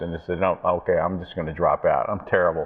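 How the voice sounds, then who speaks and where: A man speaks with an American accent. He goes at a very fast pace. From USA. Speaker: TV talk show host. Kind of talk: interview.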